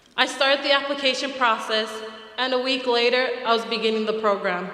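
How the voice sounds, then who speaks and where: Talking at a fairly quick pace, a woman with an American accent and a high pitch is heard with audible room echo and noticeable background noise. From American Samoa, then Utah from age seven. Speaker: program graduate. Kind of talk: graduation speech.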